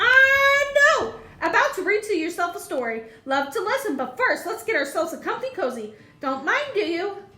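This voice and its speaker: Putting on a character voice, a woman speaks at an extremely high pitch with very wide pitch swings. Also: moderate pace. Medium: read story. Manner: clipped, eager, chummy.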